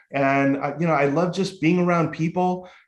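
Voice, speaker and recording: Audible room echo surrounds a man speaking at a fairly high pitch and a moderate pace, his pitch varying in an ordinary way. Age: 60s. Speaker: author and recovery speaker. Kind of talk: podcast interview. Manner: animated.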